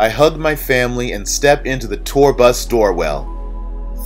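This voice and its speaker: Music plays in the background as a man speaks. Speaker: audiobook narrator. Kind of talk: audiobook reading. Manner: monotone.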